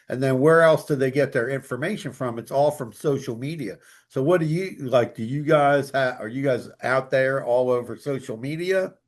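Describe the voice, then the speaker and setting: This man talks at a moderate pace with hardly any pauses, medium in pitch with ordinary pitch variation, in a plain, everyday voice against a quiet background. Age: 60s. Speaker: business podcast host. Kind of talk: podcast interview.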